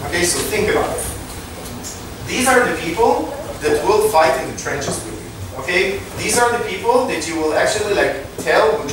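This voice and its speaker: Strong room echo and noticeable background noise surround speech delivered at a moderate pace. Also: man. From Israel. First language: Hebrew. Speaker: startup co-founder and tech executive. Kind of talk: lecture. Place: hall.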